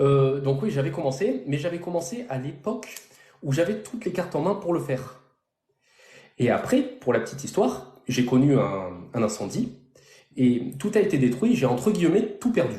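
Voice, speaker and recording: Speaking at a moderate pace with long, frequent pauses, a man with a fairly high, somewhat breathy voice swings very widely in pitch amid audible room echo. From southern France, near Toulon. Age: 30s. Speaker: real estate investor. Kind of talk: interview on a live stream. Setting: live stream.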